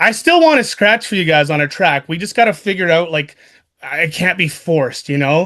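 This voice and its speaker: A man speaks at a fairly quick pace in a high, bright, sharp voice with an animated tone. His pitch varies in an ordinary way against a quiet background. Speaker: radio show host and DJ. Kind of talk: casual chat.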